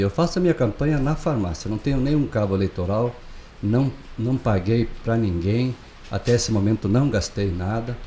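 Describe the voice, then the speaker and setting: A man with an ordinary speaking voice and a medium pitch uses lively intonation. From southern Brazil, Chapecó (Santa Catarina). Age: 60s. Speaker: pharmacist and local election candidate. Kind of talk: interview. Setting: studio.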